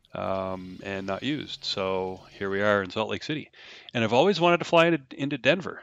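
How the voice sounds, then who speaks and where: Mumbled speech from a man, fairly low in pitch, with lively intonation at a moderate pace. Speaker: flight sim streamer. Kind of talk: live stream commentary. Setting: live stream with game audio. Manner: mumbling; halting, many fillers.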